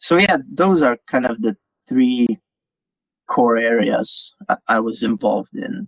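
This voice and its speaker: A man talks at a fairly slow pace with a non-native accent. The sound is dry and close, with no echo. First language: not English. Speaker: crypto community writer. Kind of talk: interview. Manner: halting, many repeated words.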